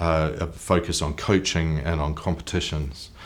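A man with a New Zealand accent talks at a fairly slow pace in a very deep, low pitch. His intonation is monotone and flat. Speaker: author and brand consultant. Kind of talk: interview.

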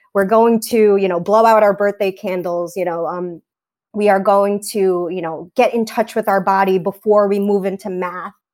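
Speaking in a New York accent at a moderate pace, the voice keeps a monotone, flat intonation on a very clean recording with a silent background. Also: woman, medium pitch for a woman. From New York, Staten Island. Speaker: teacher. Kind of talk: casual chat.

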